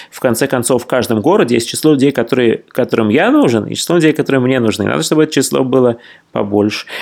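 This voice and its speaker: Very fast and marked by vocal fry, a man speaks at a medium pitch with ordinary pitch variation. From Russia. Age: 40s. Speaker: traveller and writer. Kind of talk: interview.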